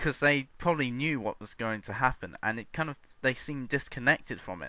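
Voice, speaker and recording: Vocal fry runs through a man's bright, sharp tone as he speaks at a moderate pace with very wide pitch swings. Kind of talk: unscripted video response rant. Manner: hesitant, stuttering with random pauses.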